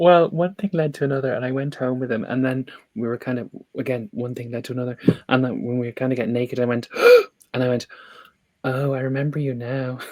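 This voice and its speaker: Talking at a very fast pace yet with long, frequent pauses, a man in an Irish accent keeps a medium pitch and fairly even intonation. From Ireland. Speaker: tarot reader and podcast host. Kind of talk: casual chat.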